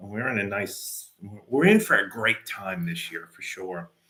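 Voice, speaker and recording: This man has a normal speaking voice at a medium pitch and talks at a moderate pace. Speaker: martial arts instructor. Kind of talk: casual video update to students.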